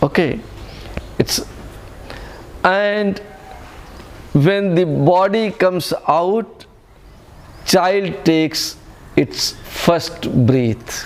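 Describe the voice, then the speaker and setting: Over noticeable background noise, a man with an Indian accent speaks very slowly at a high pitch, with long, frequent pauses, very even loudness and ordinary pitch variation. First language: Hindi. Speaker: spiritual teacher. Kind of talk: spiritual talk to retreat group. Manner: halting, self-correcting.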